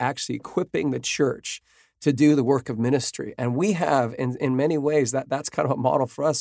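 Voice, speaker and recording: On a very clean recording with a silent background, a man with an American accent speaks at a medium pitch in a dark, mellow tone. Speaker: worship leader and podcast host. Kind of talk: casual chat. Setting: studio.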